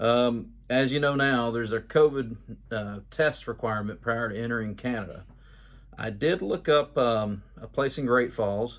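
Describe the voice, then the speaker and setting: A man with an American accent, a medium pitch, fairly even intonation and a fairly slow pace. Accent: Georgia hillbilly. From Georgia, US South. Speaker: YouTuber, travel info vlogger. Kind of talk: casual video update. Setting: at home. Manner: casual, with many filler words.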